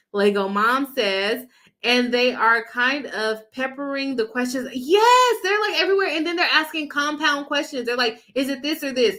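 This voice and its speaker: Raising and projecting her voice, a woman with a high pitch speaks at a moderate pace with hardly any pauses, in a bright, sharp tone with lively intonation. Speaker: lawyer and legal commentator. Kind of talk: live stream reaction and chat reading. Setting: live stream. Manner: trips over words; conversational with fillers.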